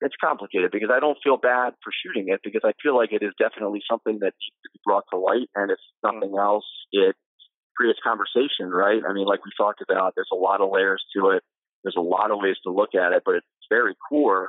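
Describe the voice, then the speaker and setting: Speaking at a very fast pace, a man talks with an American accent. His loudness swings widely. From New Jersey, Ocean City. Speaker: local sports reporter. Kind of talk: interview. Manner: halting, many fillers.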